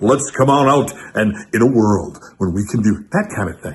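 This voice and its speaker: Putting on a booming character voice, a man speaks at medium pitch and a moderate pace. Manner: grandiose, trailer-announcer style.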